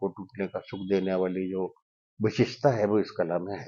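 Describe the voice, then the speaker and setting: Fairly low in pitch, a man speaks in a dark, mellow tone. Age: 70s. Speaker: magician. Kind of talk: interview. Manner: animated.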